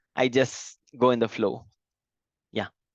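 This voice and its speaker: This man's voice sits at a medium pitch and moves at a moderate pace. The sound is dry and close with no echo, over a quiet background. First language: not English. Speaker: software developer. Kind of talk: interview. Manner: halting.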